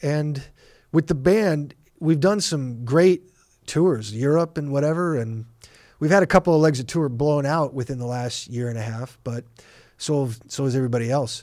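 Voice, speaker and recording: The speaker has a Californian accent, heard on a very clean recording with a silent background. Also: man, fairly high pitch for a man, ordinary pitch variation, moderate pace. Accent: Californian American. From Los Angeles. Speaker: rock drummer. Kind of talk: casual interview chat. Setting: recording studio.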